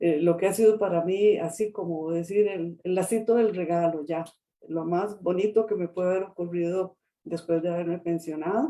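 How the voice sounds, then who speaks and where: Speaking at a moderate pace, a woman uses a fairly low pitch, a dark, mellow tone and fairly even intonation. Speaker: lawyer and retired civil servant. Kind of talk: interview. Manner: halting.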